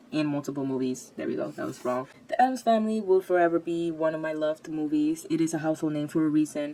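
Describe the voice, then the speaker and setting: A woman with a non-native accent talks at a very fast pace with hardly any pauses. Her pitch is very deep and low, with ordinary variation. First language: not English. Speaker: YouTube movie commentator. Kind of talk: casual video commentary. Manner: halting, self-correcting.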